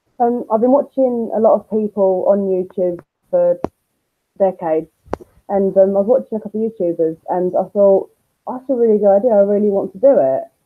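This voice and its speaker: Speaking in a London accent, a woman moves at a fairly quick pace. Her pitch is medium, with ordinary variation. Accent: London-sounding. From Essex, England (Basildon). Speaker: YouTuber and nursery worker. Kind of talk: interview. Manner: hesitant, many ums. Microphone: muffled audio.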